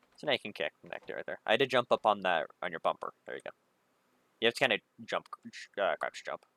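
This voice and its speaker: A man talks very fast, yet with long, frequent pauses and big swings in loudness. The sound is dry and close, with no echo. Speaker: gaming streamer. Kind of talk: casual chat. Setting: livestream with voice chat.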